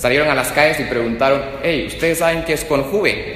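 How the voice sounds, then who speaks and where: A man is speaking. Noticeable background noise mixes with audible room echo. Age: 20s. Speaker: lawyer. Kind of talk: public testimony before legislators. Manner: formal.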